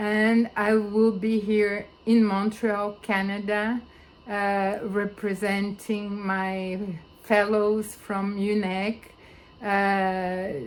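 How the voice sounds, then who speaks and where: Through audible room echo, a woman with a non-native accent speaks very slowly in a flat monotone. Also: medium pitch for a woman. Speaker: philosopher and researcher. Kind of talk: video conference talk. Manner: halting, many fillers.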